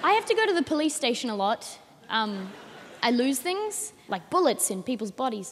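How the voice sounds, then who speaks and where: A woman talks in a high pitch with an Australian accent. Her pitch swings very widely. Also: moderate pace. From Australia, Adelaide. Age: young. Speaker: comedian. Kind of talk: stand-up. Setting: stage with audience.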